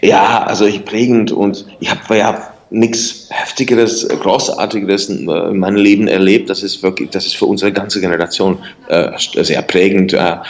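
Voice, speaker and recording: Talking at a moderate pace with hardly any pauses, a man has a Czech accent and a fairly low pitch. His intonation is fairly even, and background noise is noticeable. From Czech Republic, northeastern Bohemia. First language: Czech (speaking German). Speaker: singer and writer. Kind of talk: interview. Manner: halting, repeats words.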